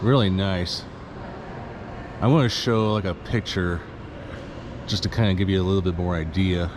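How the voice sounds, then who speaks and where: Speech comes at a moderate pace with ordinary pitch variation. Noticeable background noise is present. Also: man. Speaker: travel vlogger touring historic sites. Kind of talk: walking tour vlog. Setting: indoors in a state capitol building. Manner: animated; quiet voice.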